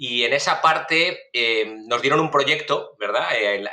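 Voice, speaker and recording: A man with a Spanish accent at a fairly slow pace. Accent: Spanish from Spain. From Spain, Valencia. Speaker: food safety researcher, professor. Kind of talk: podcast interview. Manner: hesitant, many fillers.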